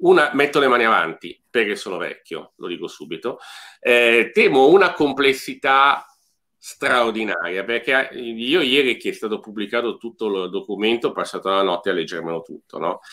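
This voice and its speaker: Against a quiet background, a man talks at a moderate pace with lively intonation, big swings in loudness and a bright, sharp tone. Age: middle-aged. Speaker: podcast host. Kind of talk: casual chat. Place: home room. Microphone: video call.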